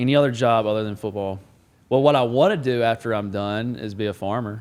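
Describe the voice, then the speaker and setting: Talking very fast with a slight Southern US accent, a man keeps a medium pitch with ordinary variation. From Alabama. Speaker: football player, podcast co-host. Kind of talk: casual chat.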